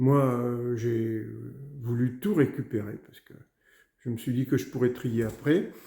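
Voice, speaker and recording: A man's dark, mellow tone at medium pitch, with ordinary pitch variation, a fairly slow pace, long, frequent pauses and big swings in loudness. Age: 60s. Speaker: customer giving a testimonial. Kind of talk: testimony. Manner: halting, many hesitations.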